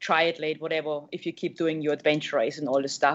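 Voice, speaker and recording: This woman talks at a fairly quick pace. She has a German accent. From Germany. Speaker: triathlete and adventure racer. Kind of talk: interview.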